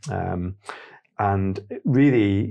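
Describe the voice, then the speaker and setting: The voice has a dark, mellow tone over a quiet background. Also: man. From Stoke-on-Trent, England. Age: 40s. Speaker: digital business founder. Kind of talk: casual interview chat.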